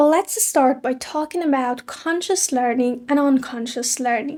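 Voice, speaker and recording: A woman speaks with a non-native accent in a high pitch with ordinary variation. Her tone is dark and mellow. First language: not English. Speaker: English learning youtuber. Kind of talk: tutorial.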